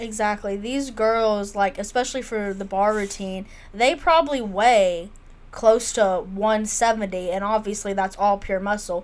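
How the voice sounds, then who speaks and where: In a Southern US accent, a woman speaks at a medium pitch and a fairly slow pace, with ordinary pitch variation. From Mississippi. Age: 20s. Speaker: sports podcast co-host. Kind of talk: casual chat.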